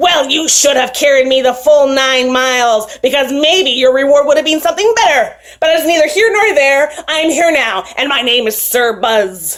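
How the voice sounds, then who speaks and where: A woman's put-on character voice, high in pitch, with lively intonation at a moderate pace. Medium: read story. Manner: imperious, demanding.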